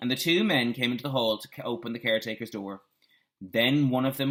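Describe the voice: The background stays quiet. What we hear is plain reading aloud.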